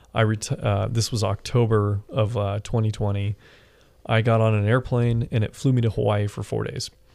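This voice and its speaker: A man with an American accent and monotone, flat intonation, on a very clean recording with a silent background. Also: fairly low pitch for a man, moderate pace. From Washington State, Seattle area. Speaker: air traffic controller and military veteran. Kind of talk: casual interview.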